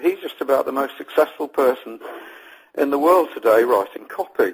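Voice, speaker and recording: Moderate pace from a man with an English accent. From England. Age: old. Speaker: copywriter and interviewer. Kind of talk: interview. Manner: halting, with frequent fillers.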